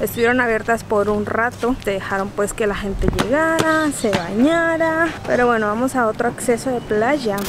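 Amid noticeable background noise, a woman talks at a fairly slow pace with ordinary pitch variation and a dry sound with no echo. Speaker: travel vlogger. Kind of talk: casual vlog chat. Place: beach. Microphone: phone near.

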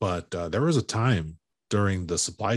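Against a quiet background, a man with an American accent talks at a moderate pace, the sound dry with no echo. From Chicago. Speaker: podcast host, construction professional; podcast host. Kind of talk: casual interview; promotional plug. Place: home room.

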